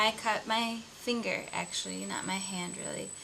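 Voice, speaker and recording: A woman with an American accent amid noticeable background noise and audible room echo. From US Midwest (Iowa, Wisconsin). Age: 20s. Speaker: video blogger. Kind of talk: casual personal vlog.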